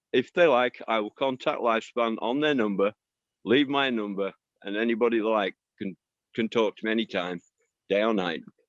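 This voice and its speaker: Speaking at a moderate pace with a Barnsley accent. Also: man. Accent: Barnsley twang. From northern England, Barnsley. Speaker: commune member. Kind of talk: online event reminiscence.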